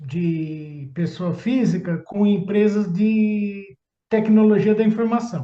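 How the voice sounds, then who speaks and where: Speaking at a very slow pace, a man uses a high pitch with a dark, mellow tone. His pitch varies in an ordinary way. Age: 60s. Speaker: public tender consultant. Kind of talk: interview.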